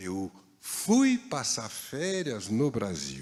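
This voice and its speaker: Here a man speaks with a French accent. The recording is very clean, with a silent background. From France, Paris. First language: French (speaking Portuguese). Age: 60s. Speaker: baker. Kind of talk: talk to an audience.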